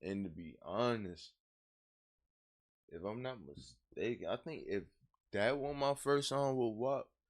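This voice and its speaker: Mumbling in an American accent, a man at medium pitch uses lively intonation, a fairly slow pace and long, frequent pauses. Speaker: rapper. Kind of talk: casual interview conversation. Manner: slow-paced.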